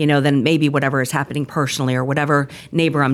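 Very fast, monotone delivery with flat intonation and an American accent. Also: woman. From Connecticut. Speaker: executive assistant. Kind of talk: casual chat.

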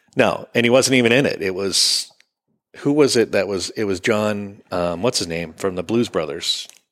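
This is a normal speaking voice from a man with a fairly low pitch and ordinary pitch variation. He goes at a moderate pace on a very clean recording with a silent background. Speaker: golf podcast host. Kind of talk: casual banter podcast chat. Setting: studio with live audience. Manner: chatty, joking.

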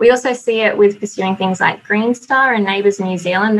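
Speaking at a moderate pace, a woman has a slight Australian accent. Her pitch variation is ordinary. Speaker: building consultant. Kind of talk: webinar presentation with slides. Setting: online webinar.

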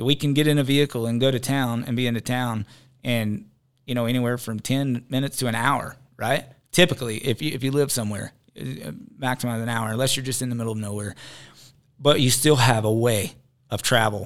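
A man's medium-pitched voice, with fairly even intonation, comes through on a very clean recording with a silent background. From US South, rural Georgia. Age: 30s. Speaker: reality TV personality and bison rancher. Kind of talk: casual interview. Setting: studio.

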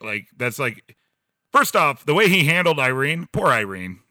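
Loud and bright with a sharp tone, a man speaks with lively intonation. Vocal fry comes through in his voice. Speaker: podcast host. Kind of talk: casual chat. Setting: video call, recording in a garage.

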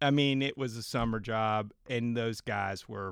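A man's unremarkable speaking voice, fairly low in pitch, with ordinary pitch variation and a fairly slow pace. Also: very clean recording, silent background. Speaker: podcast host. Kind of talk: casual chat.

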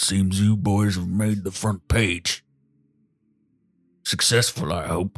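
A man's put-on character voice, fairly low in pitch, at a fairly slow pace with long, frequent pauses. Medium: actual play. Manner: gruff, terse.

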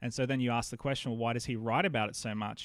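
This man has an Australian accent and a medium pitch. His intonation is fairly even. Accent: Australian, sometimes mistaken for American. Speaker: pastor and podcaster. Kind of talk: casual interview chat.

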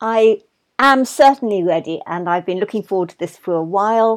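Over a quiet background, a woman with a southern English accent speaks at a moderate pace, with medium pitch and lively intonation. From England, London. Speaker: marine scientist. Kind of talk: casual interview chat. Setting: video call.

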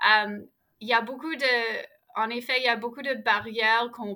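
At a moderate pace, a woman talks in a flat, monotone way. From Ottawa, Canada. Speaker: outdoor program founder. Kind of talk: interview.

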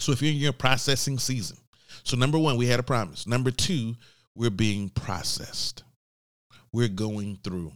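A man with a Southern US accent talks at a moderate pace, his pitch medium with ordinary variation. He pauses long and often, and the recording is very clean with a silent background. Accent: Southern US (Georgia). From US, Georgia. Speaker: podcast host. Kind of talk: faith-based business teaching monologue. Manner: conversational with filler words.

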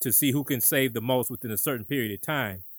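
A man with an ordinary speaking voice, medium pitch, ordinary pitch variation and a fairly quick pace, on a very clean recording with a silent background and a dry, close sound with no echo. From Detroit, Michigan. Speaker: podcast host, business co-founder. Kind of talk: interview; scripted outro.

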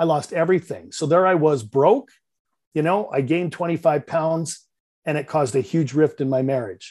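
The background is quiet as a man speaks at a moderate pace with a slight Canadian accent. His pitch is fairly high, with ordinary variation. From Canada, Vancouver. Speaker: real estate investor and business coach. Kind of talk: podcast interview.

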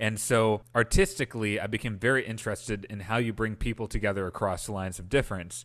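On a very clean recording with a silent background, a man with an American accent and a fairly low pitch talks at a very fast pace with hardly any pauses and fairly even intonation. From Wisconsin, US Midwest. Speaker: political organizer and Senate hopeful. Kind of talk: podcast interview.

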